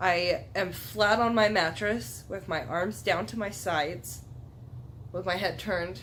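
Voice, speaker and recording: A woman talks at a fairly slow pace, her fairly low voice showing vocal fry and very wide pitch swings. Room echo is audible. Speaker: YouTuber. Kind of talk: casual chat. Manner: animated.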